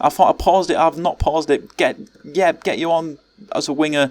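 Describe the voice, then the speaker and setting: A man with an English accent, fairly high in pitch, with ordinary pitch variation at a fairly quick pace. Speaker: gaming YouTuber. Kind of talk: gameplay commentary. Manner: fast; animated.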